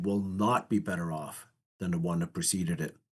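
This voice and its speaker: A man talks at a fairly quick pace with lively intonation in an ordinary speaking voice. The background is quiet. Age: 60s. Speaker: economics commentator. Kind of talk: podcast interview.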